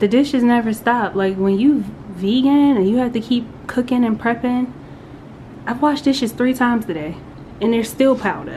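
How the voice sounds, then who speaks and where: The speech moves at a moderate pace with ordinary pitch variation, long, frequent pauses and noticeable background noise. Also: woman, high pitch for a woman. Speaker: vlogger. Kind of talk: casual vlog talk. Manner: soft-spoken.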